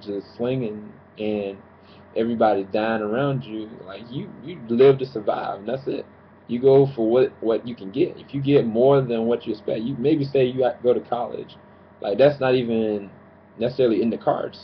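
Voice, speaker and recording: The speaker has a plain, everyday voice with fairly even intonation but big swings in loudness. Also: man. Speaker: preacher / sermon commentator on YouTube. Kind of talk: sermon-style commentary to camera.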